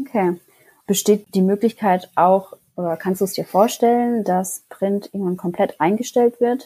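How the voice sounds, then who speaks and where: A woman speaks in a dark, mellow tone. Her pace is moderate, with ordinary pitch variation. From Karlsruhe, Germany. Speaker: media student. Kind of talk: interview.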